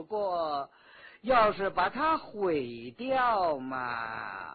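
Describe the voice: Using a put-on character voice, a man speaks at a very slow pace with big pitch swings, a fairly high pitch and a slightly husky edge.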